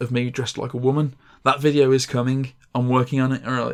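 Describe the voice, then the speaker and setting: Here is a man's voice. It sits at medium pitch. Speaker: gaming podcast host and video creator. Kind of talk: casual chat. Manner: fast; halting.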